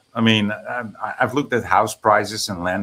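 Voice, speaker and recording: Speaking at a moderate pace, a man with a Dutch accent has a bright, sharp tone. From Netherlands. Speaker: guest on stream. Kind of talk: casual chat.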